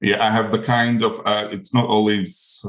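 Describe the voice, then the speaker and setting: A man with a Greek accent at a medium pitch and moderate pace. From Greece (Crete). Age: 40s. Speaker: olive farmer and coloured pencil artist. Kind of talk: casual interview chat. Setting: video call.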